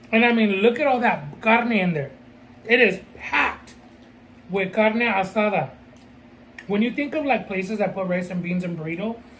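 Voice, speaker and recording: A woman at a moderate pace, with ordinary pitch variation, long and frequent pauses, and light background noise. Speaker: channel host. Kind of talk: casual mukbang chat. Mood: pleased, relaxed. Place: home room.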